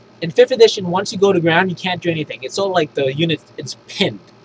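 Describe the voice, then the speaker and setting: A man speaks at a high pitch in an enthusiastic tone. He moves at a fairly quick pace with ordinary pitch variation. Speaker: tabletop gaming YouTuber. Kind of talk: unscripted rulebook review. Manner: halting, many false starts; casual, enthusiastic.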